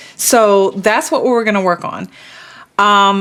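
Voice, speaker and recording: Noticeable background noise sits behind a woman with a medium-pitched voice. She talks at a fairly slow pace. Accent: American. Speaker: beauty vlogger. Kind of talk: makeup tutorial, casual chat. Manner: casual, chatty.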